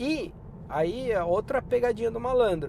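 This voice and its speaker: This man has a high voice and speaks at a fairly slow pace. His intonation is lively. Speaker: podcaster and career advice youtuber. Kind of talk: casual vlog advice. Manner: informal, conversational.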